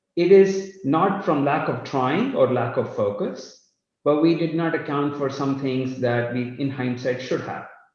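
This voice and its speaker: A man talks at a fairly slow pace in a fairly high pitch with ordinary pitch variation. Audible room echo surrounds the recording. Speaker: company CEO. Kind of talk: live company update. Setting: live online session.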